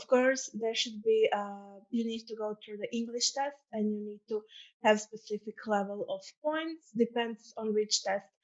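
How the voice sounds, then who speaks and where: A woman speaks with a Croatian accent at a fairly high pitch. She keeps a moderate pace and fairly even intonation. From Croatia, Zagreb. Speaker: student ambassador. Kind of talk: presentation.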